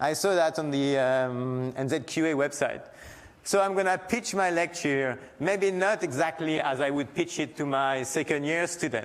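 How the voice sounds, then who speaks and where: With a French accent, this man talks at a fairly high pitch and keeps his loudness very even. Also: ordinary pitch variation, moderate pace. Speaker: university lecturer and disaster researcher. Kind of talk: lecture. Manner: halting.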